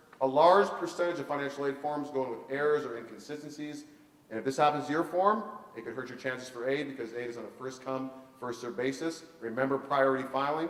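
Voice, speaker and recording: A man talks at a very fast pace with big swings in loudness, amid audible room echo and noticeable background noise. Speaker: college funding consultant. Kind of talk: seminar presentation.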